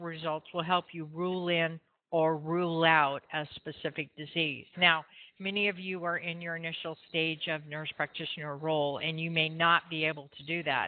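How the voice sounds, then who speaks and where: A woman's plain, everyday voice, fairly low in pitch, at a moderate pace with fairly even intonation. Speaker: nursing instructor. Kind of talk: lecture. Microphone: feedback on the line.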